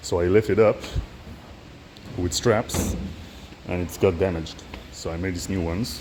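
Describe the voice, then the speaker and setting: Against noticeable background noise, a man with a non-native accent speaks at a very deep, low pitch and a moderate pace, with ordinary pitch variation and long, frequent pauses. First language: not English. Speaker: DIY machine builder. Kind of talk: tutorial. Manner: halting.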